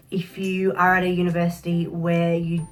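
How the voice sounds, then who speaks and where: Someone talks with an Australian accent while music plays in the background. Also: woman. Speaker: social work graduate. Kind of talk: casual talk to camera.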